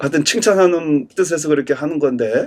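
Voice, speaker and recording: Speaking at a moderate pace in a normal speaking voice, a man sounds fairly high-pitched, with ordinary pitch variation. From Korea. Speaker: pastor. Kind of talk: sermon. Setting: church service streamed online.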